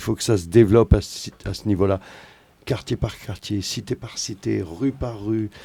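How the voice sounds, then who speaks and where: Somewhat breathy and dark, mellow in tone, a man speaks at a moderate pace and fairly low pitch, with fairly even intonation and big swings in loudness. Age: 50s. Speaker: musician. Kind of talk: casual chat.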